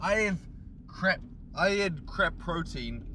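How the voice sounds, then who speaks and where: At a fairly slow pace, a man talks with audible room echo and noticeable background noise. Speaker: bodybuilding vlogger. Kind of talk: casual gym vlog monologue. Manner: loud. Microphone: camera's built-in mic.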